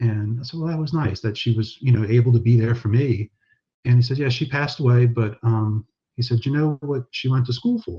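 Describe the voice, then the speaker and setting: Talking at a fairly quick pace, a man with a medium pitch sounds somewhat breathy, with a dark, mellow tone and fairly even intonation. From New Orleans, Louisiana. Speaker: pastor. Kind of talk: casual chat. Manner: soft-spoken.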